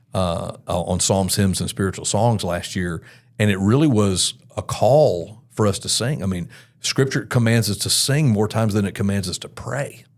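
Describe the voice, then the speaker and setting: In a very clean recording with a silent background, a man with an American accent uses a plain, everyday voice, speaking at a moderate pace with a fairly low pitch and ordinary pitch variation. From US South, Mobile, Alabama. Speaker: worship pastor. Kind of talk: podcast interview.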